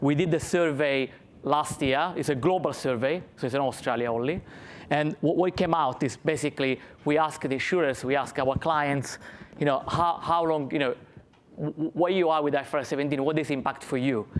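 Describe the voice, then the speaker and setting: Speaking fairly quickly with an Italian accent, a man keeps a fairly high pitch and fairly even intonation. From Italy. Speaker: finance consultant, conference speaker. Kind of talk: conference presentation.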